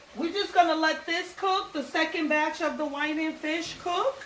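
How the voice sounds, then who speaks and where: The woman's tone is bright and sharp, and room echo can be heard. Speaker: home cook. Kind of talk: tutorial.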